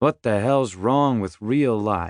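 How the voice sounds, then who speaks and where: Against a quiet background, a man does a rumbling put-on character voice at medium pitch with ordinary pitch variation. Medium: read story. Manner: crude, grumbling.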